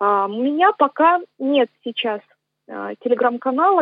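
Pitched high, a woman speaks very slowly with lively intonation. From Moscow region, Russia. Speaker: singer and composer. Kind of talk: radio interview. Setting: remote radio link.

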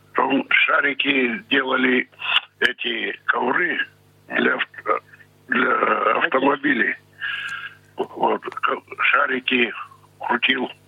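Over noticeable background noise, a man speaks very slowly at very even loudness, with long, frequent pauses. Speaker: blind pensioner, former brass band musician. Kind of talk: interview. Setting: phone call. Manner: terse.

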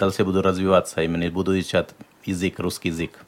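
A man is speaking. His pitch is very deep and low. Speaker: interpreter. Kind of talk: live interpreting on radio.

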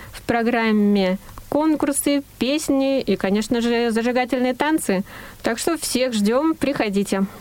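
A woman speaks at a fairly slow pace in a high voice with ordinary pitch variation, over noticeable background noise. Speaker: news reader. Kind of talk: news reading.

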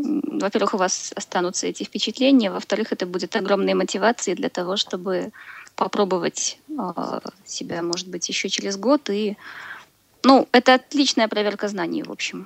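A woman's medium-pitched voice at a moderate pace, with long, frequent pauses, ordinary pitch variation, and a dry, close sound with no echo. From Belarus. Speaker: caller, former exchange student. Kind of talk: call-in on live radio.

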